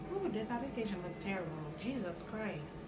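A woman talks at a moderate pace. Loud background noise runs behind her. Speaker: beauty vlogger. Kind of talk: casual talk to camera. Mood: self-critical, playful. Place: home room. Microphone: camera far.

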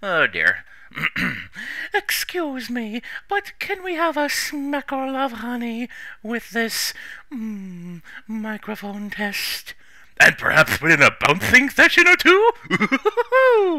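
Doing a cartoonish character voice, a man speaks very slowly at an extremely high pitch. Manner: soft-spoken, slow.

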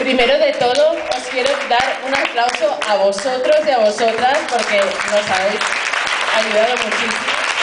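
Over crowd noise in the background, a woman speaks at a fairly slow pace with ordinary pitch variation. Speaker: event host or facilitator. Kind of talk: public address to audience. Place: hall.

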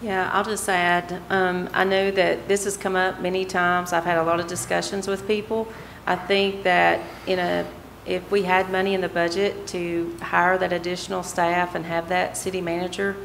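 A woman with an Appalachian accent speaks at a moderate pace in monotone, flat intonation, with light background noise. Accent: Southern US (Appalachian). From US, Bristol, Virginia; Virginia. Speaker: vice mayor, council member. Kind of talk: council meeting discussion. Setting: city council chamber. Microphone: podium.

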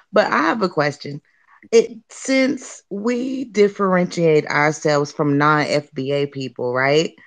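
With an American accent, a woman speaks at a very slow pace in a very deep, low pitch. Her pitch swings very widely, and the background is quiet. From Florida, US South. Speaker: caller and parent. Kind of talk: call-in comment.

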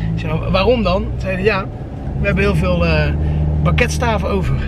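A man at a moderate pace, with loud background noise all around. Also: dry sound with no echo. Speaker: family vlogger. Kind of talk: casual vlog chat. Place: car. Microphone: phone near.

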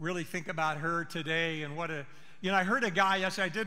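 A man with a high pitch and ordinary pitch variation talks at a moderate pace. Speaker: pastor. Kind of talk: sermon. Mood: warm, personal, reflective. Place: church. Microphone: headset.

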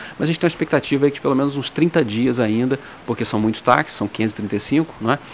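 Ordinary pitch variation marks this man's speech over light background noise. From Brazil. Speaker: municipal transit official; interviewee. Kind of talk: news interview; interview answer. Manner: halting, many fillers. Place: office. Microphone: handheld.

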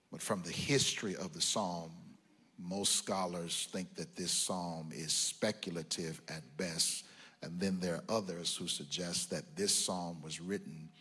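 This man has a very deep, low pitch and a bright, sharp tone, talking at a fairly slow pace with fairly even intonation. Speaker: preacher. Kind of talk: sermon. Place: church. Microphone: handheld.

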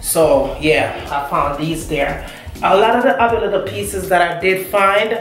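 A woman talks at a fairly slow pace with ordinary pitch variation. Faint music plays in the background, and room echo is audible. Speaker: home decor vlogger. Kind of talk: casual vlog chat. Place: bathroom. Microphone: camera far.

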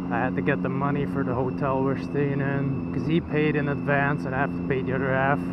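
A man at a very fast pace with hardly any pauses, over loud background noise. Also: dry sound with no echo. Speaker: motorbike vlogger. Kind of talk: casual vlog chat. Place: motorbike. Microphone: helmet.

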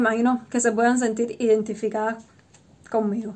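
A woman's voice at a fairly quick pace. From Cuba. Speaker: vlogger. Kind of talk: casual vlog monologue. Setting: home recording with wind noise. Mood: relaxed, chatty. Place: home room. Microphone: webcam.

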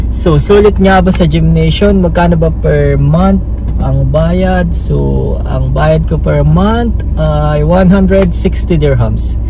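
A man talks with fairly even intonation. The sound is dry with no echo, but there is noticeable background noise. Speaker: fitness vlogger. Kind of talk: casual vlog chat. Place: car. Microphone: phone near.

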